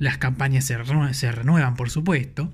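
A man is speaking. He has a Rioplatense accent. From Argentina, Buenos Aires. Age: 30s. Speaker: podcast host, crypto content creator. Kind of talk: casual solo podcast talk.

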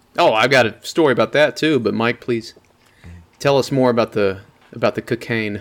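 An ordinary speaking voice from a man, medium in pitch with ordinary pitch variation, at a fairly quick pace, on a very clean recording with a silent background. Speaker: podcast co-host. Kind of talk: casual chat.

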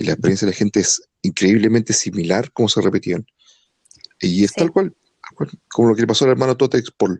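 In a dry, close recording with no echo, a man with a fairly low pitch talks at a fairly quick pace with lively intonation in an ordinary speaking voice. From Chile. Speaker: podcast co-host. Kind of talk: casual chat.

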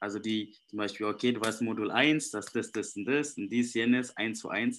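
A man with a non-native accent talks at a fairly slow pace with fairly even intonation. His pitch is medium, and the recording is very clean with a silent background. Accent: foreign accent in German. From Indonesia. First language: Indonesian (speaking German). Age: young. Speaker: life coach. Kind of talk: interview.

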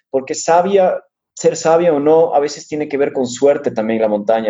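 A man speaks in an ordinary speaking voice with ordinary pitch variation. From Ecuador. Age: 30s. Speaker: mountain runner. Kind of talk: interview.

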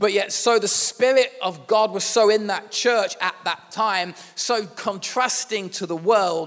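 This man has a Yorkshire accent and a high pitch with ordinary variation. He talks at a fairly slow pace. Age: 40s. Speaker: pastor. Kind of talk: sermon. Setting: church.

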